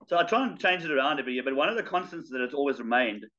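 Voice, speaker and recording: A man with a bright, sharp tone speaks over a quiet background. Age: 50s. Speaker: charity fundraiser and ultramarathon runner; guest. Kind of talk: casual interview chat. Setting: video call. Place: home room. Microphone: video call.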